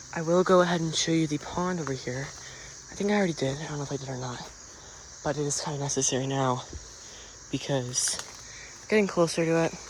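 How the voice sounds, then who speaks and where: A man whispering at a very fast pace, broken by long, frequent pauses, amid noticeable background noise. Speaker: outdoor vlogger. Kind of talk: casual vlog narration. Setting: outdoors in a forest. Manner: halting.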